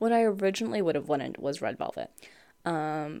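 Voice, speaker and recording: A woman with a fairly low pitch sounds animated, her intonation lively and touched with vocal fry. The recording is very clean, with a silent background. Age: 20s. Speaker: podcast host. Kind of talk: casual solo monologue. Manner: animated, frequent laughter.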